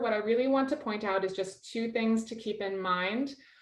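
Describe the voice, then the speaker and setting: A woman's fairly high voice with lively intonation, amid noticeable background noise. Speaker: grant program officer. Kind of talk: webinar presentation. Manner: fast.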